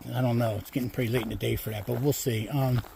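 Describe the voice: A man's medium-pitched voice carries a slightly mellow tone, a slightly husky edge and vocal fry.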